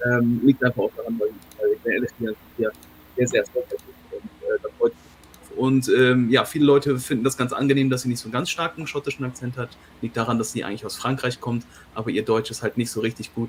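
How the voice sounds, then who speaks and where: Very fast speech with fairly even intonation, big swings in loudness, and noticeable background noise. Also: man, medium pitch for a man. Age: 40s. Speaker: whisky video creator and translator. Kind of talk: live online tasting stream. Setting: live online stream.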